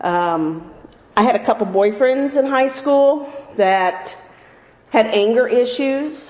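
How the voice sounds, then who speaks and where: With an American accent, a woman talks at a very slow pace and a high pitch, using lively intonation and long, frequent pauses amid noticeable background noise. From US Midwest, Alton area (Illinois). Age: 50s. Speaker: church member giving testimony. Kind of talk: testimony.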